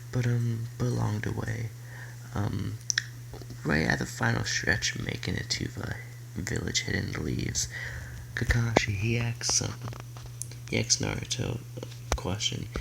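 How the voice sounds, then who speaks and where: A soft-spoken man talks at a fairly slow pace, pausing often and at length. Audible room echo and noticeable background noise surround his voice. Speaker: youtuber telling fan fiction story. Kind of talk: casual story narration. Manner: halting, many fillers. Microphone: quiet, needs volume up.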